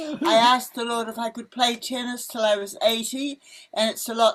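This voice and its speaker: In a New Zealand accent, a woman speaks at a fairly high pitch. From New Zealand, Wellington. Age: 80s+. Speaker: missionary. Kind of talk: casual chat. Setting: outdoors. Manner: animated.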